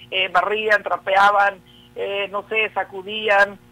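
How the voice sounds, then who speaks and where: A man speaks in a Sinaloan accent. His voice is raised and projected, with a bright, sharp tone. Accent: Sinaloa. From Mexico, Sinaloa (Culiacán). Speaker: social science researcher. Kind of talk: interview. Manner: hesitant, many fillers.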